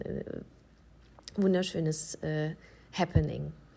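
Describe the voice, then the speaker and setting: Fairly low in pitch, a woman's voice carries vocal fry. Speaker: wedding officiant and podcast host. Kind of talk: casual monologue.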